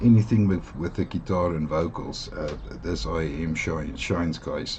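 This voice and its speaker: A man with a South African accent and a very deep, low pitch talks at a moderate pace with lively intonation, with noticeable background noise. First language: Afrikaans. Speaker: audio gear reviewer. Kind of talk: product review. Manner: hesitant, many fillers.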